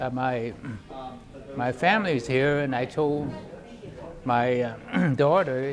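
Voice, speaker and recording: A man speaks at a fairly high pitch with ordinary pitch variation over noticeable background noise. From China. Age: 80s+. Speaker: war veteran. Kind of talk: interview answer. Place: hall. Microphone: phone near.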